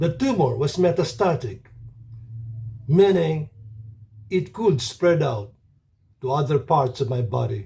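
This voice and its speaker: A man with a fairly high pitch speaks in a dark, mellow tone with vocal fry. His pace is fairly slow and his intonation lively, broken by long, frequent pauses. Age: 70s. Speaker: cancer survivor. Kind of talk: testimony.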